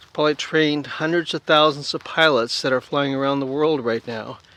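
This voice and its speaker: The sound is dry and close with no echo as a man speaks in a fairly high pitch. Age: 60s. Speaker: retired aviation quality leader, returning pilot. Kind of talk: casual talk to camera. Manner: enthusiastic, chatty.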